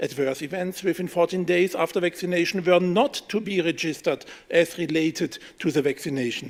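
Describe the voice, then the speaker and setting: A man speaks with a German accent at a high pitch. His pitch variation is ordinary. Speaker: politician. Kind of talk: press conference statement read from script.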